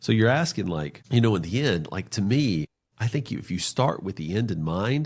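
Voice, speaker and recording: In a very clean recording with a silent background, a man speaks with an American accent at a moderate pace. His fairly low pitch makes very wide swings. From North Carolina, US South. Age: 40s. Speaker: financial planner. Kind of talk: podcast interview. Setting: podcast.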